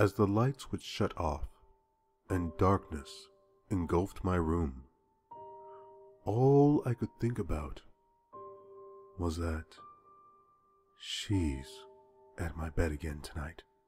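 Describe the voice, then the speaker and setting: Music plays in the background as a man with a very deep, low pitch speaks at a very slow pace, using lively intonation and long, frequent pauses. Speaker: horror story narrator. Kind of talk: horror audio narration, first person story.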